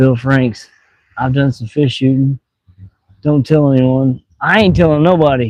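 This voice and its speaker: A man with a Missouri accent, medium in pitch and relaxed in tone, talks at a fairly slow pace with long, frequent pauses and ordinary pitch variation, in a dry, close sound with no echo. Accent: southeast Missouri rural accent, noticeable. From US Midwest, southeast Missouri. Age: 40s. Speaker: fishing live streamer. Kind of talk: casual live stream chat. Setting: outdoors by water, fishing. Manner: relaxed, casual.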